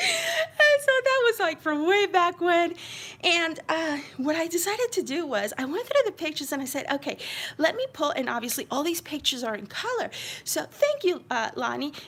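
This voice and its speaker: An extremely high-pitched woman's voice with an American accent, animated and full of very wide pitch swings, at a moderate pace over noticeable background noise. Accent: occasional slight New York. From New York City (Queens). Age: 50s. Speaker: crafting YouTuber. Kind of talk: live-stream craft flip-through chat. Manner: chatty, animated.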